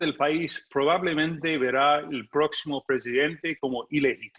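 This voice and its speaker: Fairly high in pitch, the man speaks at a fairly slow pace. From United States. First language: English (speaking Spanish). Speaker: journalist and political analyst. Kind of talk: conference talk.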